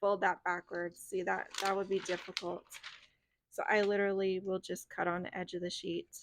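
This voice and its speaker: The woman's pitch is medium and her pace moderate. Her intonation stays monotone and flat. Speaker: planner crafter. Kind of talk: tutorial. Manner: casual.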